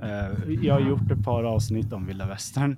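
A man's fairly low voice has a dark, mellow tone and ordinary pitch variation. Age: 30s. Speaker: podcast host. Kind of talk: casual chat.

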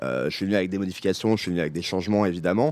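The speaker is a man with a very deep, low pitch. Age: 30s. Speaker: TV series director and co-writer. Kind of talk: casual chat. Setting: outdoors.

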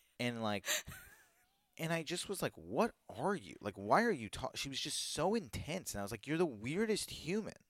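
An American-accented man with a fairly high pitch speaks at a moderate pace in an animated tone, using very wide pitch swings and some vocal fry. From Virginia, US. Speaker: comedian. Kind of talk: casual chat.

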